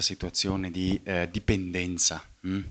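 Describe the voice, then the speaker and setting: A man speaks softly. His pitch is very deep and low. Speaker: scientist and philosopher of science giving a talk. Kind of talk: public lecture. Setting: evening talk before a live audience. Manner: speaks fairly softly; halting, many fillers and repetitions.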